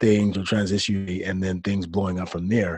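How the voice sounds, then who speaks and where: At a moderate pace, a man with an American accent talks in an unremarkable speaking voice pitched fairly low. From US Midwest, Detroit, Michigan. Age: 30s. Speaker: artist and online show host. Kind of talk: interview conversation.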